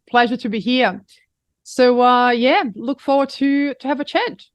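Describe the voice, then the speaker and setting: Speaking at a moderate pace, a woman with a Brazilian accent has a high pitch. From Brazil, Rio de Janeiro. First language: Portuguese. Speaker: executive coach and mindfulness teacher. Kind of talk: interview conversation.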